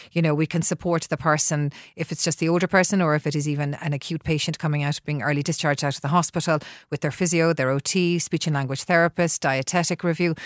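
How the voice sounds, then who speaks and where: Speaking at a very fast pace with a Dublin accent, a woman with a very deep, low pitch keeps a monotone, flat intonation, captured in a very clean recording with a silent background and a dry, close sound with no echo. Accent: Dublin Irish. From Ireland, Dublin. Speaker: healthcare company CEO, former nurse. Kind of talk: radio interview. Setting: radio studio.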